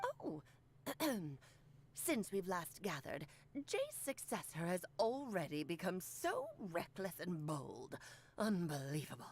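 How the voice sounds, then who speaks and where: A woman uses a put-on character voice at a medium pitch. She goes at a fairly slow pace with long, frequent pauses. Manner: haughty, reproachful.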